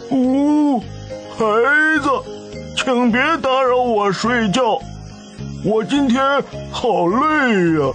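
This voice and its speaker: Against clear music in the background, a put-on character voice speaks at a fairly high pitch and a very slow pace. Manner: slow, groggy, mumbling.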